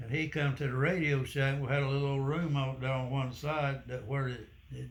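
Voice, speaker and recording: A man talks with a fairly high pitch and a somewhat breathy voice. His intonation stays fairly even. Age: 80s+. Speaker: war veteran. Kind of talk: interview answer.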